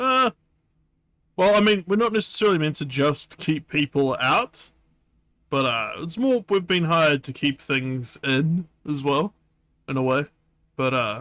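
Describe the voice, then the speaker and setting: A man puts on a character voice, fairly high in pitch, drawling at a moderate pace with long, frequent pauses. His pitch swings very widely, and the sound is dry and close with no echo. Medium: virtual streamer. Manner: laconic, jaded, drawling.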